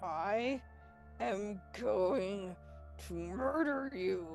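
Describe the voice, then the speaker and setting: A female-sounding voice puts on a growling character voice at a medium pitch while music plays in the background. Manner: low growl, threatening; under the breath.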